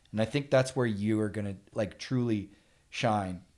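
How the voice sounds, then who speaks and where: In a plain, everyday voice, a man speaks at a medium pitch and moderate pace with fairly even intonation. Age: 40s. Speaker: sales professional. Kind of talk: casual interview chat.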